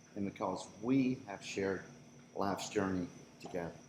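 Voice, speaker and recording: Over noticeable background noise, a man in a Southern US accent speaks at a moderate pace. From US South. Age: 70s. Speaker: birthday honoree. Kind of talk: speech at a celebration. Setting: party with audience.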